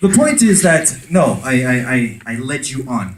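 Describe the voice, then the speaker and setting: A man with an American accent talks in a somewhat breathy voice, his pitch swinging very widely, with audible echo in the room. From France. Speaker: conference speaker on conversion marketing. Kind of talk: conference talk with audience interaction. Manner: animated.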